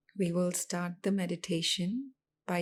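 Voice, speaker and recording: This woman's voice sits fairly low in pitch and sounds somewhat breathy. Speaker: meditation guide. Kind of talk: guided meditation.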